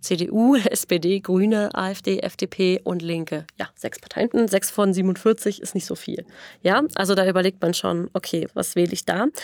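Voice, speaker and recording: Here is an ordinary speaking voice with ordinary pitch variation. The pace is fairly slow, and the sound is dry and close with no echo. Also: woman, medium pitch for a woman. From Berlin area, Brandenburg. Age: 20s. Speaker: democracy activist, political scientist. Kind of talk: podcast interview. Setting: podcast studio.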